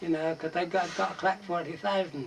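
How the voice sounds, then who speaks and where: A man with an Oxfordshire accent speaks in a high voice. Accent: rural Oxfordshire English. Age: 80s+. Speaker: bellringer. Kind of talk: oral history interview. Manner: casual, conversational.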